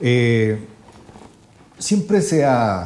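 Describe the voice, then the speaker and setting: A man's dark, mellow, somewhat breathy voice. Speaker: music show host. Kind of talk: interview. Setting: studio.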